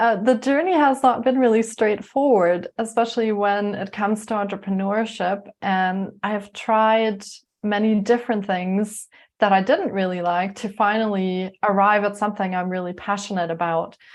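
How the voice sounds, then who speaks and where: Over a quiet background, a woman speaks in a German accent at a moderate pace. Her pitch is medium and her intonation fairly even. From Germany (Munich), moved to Canada at 13. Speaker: life coach and yoga teacher. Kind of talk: interview.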